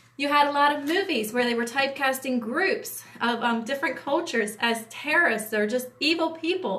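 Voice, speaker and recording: Talking with hardly any pauses, a woman with an American accent uses lively intonation at a high pitch, and room echo is audible. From US Appalachia. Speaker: entertainment industry producer. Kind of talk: livestream talk. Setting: livestream. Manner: fast; hesitant with fillers.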